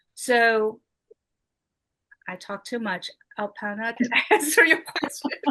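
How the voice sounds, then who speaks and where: A woman's high voice with lively intonation, big swings in loudness and long, frequent pauses at a fairly slow pace. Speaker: motivational speaker, regional advisor. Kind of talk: motivational speech.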